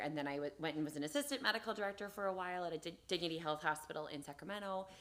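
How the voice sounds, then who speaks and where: Her pitch is very deep and low. This woman speaks with ordinary pitch variation. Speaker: emergency room doctor. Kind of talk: live Q&A interview. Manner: fast.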